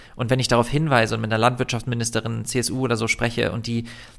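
A plain, everyday voice from a man, medium in pitch and fairly quick in pace. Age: 30s. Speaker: vegan activist and YouTuber, former doctor. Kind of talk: casual interview.

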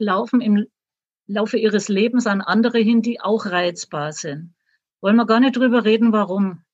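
The speech is fairly slow and somewhat breathy. The sound is dry and close, with no echo. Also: woman. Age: 60s. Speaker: author and retired teacher. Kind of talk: interview.

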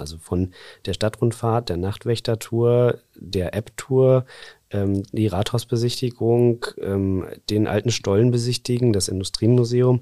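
A man's dark, mellow voice with fairly even intonation, dry and close with no echo, on a very clean recording against a silent background. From northwest Germany, Dümmer lake region. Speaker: advertising agency owner and association chairman. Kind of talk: casual interview.

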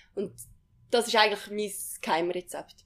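Fairly high in pitch with ordinary pitch variation, a woman talks at a fairly slow pace. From Switzerland, Uri (Andermatt). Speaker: alpine ski racer. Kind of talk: casual interview. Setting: training centre.

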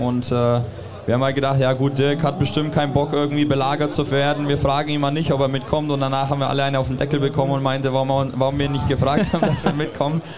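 Amid noticeable background noise and audible room echo, a man talks at a very fast pace. His pitch is fairly high. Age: 30s. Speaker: professional basketball player. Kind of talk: casual interview.

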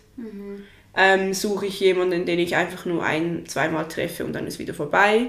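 A woman at medium pitch and a moderate pace, fairly even intonation, with noticeable background noise and audible room echo. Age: 20s. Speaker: friend of the host. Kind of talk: casual chat. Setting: sitting on the floor in her living room.

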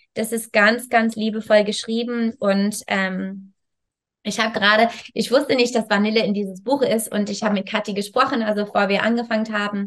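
A woman speaks at a fairly high pitch and a moderate pace. Her intonation is monotone and flat. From Canada. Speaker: yoga teacher and wellness coach. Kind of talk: interview. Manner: halting.

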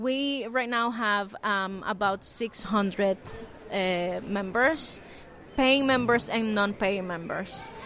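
A woman with a Spanish accent speaks at a very slow pace in a bright, sharp tone. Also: medium pitch for a woman, ordinary pitch variation. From Nicaragua. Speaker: journalist and membership program manager. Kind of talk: interview. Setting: journalism festival venue.

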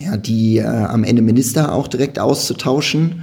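At a moderate pace, a man talks in a medium pitch. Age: 30s. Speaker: political party community organizer. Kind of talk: casual political discussion.

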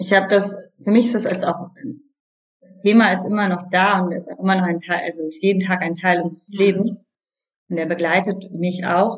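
A somewhat breathy woman at a moderate pace, with monotone, flat intonation and big swings in loudness. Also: medium pitch for a woman. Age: 30s. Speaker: yoga teacher and coach. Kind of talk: interview.

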